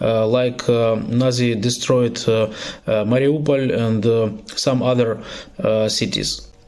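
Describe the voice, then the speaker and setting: A man's medium-pitched voice with a non-native accent, fairly slow pace and audible room echo. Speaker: political activist. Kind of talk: recorded video statement. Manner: halting, many filler sounds.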